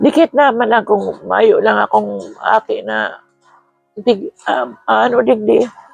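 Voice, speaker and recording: Music sounds in the background. Over it, a woman talks very slowly. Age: 60s. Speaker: retired vlogger on hemodialysis. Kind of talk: personal appeal for help. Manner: hesitant.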